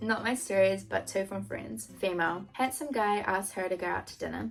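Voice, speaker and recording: Someone speaks at a moderate pace in a New Zealand accent. Music plays in the background. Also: woman. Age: 20s. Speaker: YouTuber.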